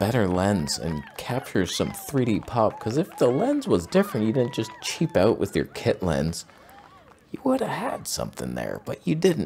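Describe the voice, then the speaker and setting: With music in the background, the voice moves at a moderate pace through very wide pitch swings. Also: man. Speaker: photography show host. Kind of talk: comedic commentary. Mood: mock-exasperated sarcastic. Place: home room. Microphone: studio mic.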